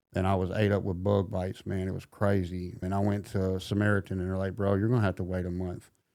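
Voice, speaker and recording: In a Southern US accent, a man speaks very fast in a very deep, low pitch, his tone dark and mellow and his intonation monotone and flat. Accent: Southern US country. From US South, middle Tennessee. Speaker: recovering addict sharing his story. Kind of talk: testimony.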